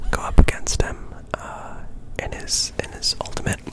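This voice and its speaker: Whispered words arrive at a fairly slow pace amid noticeable background noise. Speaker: ASMR gameplay commentator. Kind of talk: ASMR gameplay commentary.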